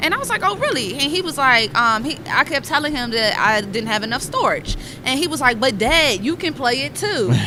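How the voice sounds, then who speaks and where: Raised and projected, a woman's high voice comes out animated, with lively intonation and hardly any pauses. Noticeable background noise and audible room echo fill the recording. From Washington DC. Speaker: tech entrepreneur, game developer. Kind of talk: podcast interview. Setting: conference podcast booth.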